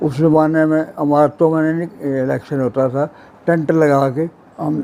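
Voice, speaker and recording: A man's fairly high voice with monotone, flat intonation. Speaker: Partition eyewitness. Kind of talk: personal memoir interview. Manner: passionate.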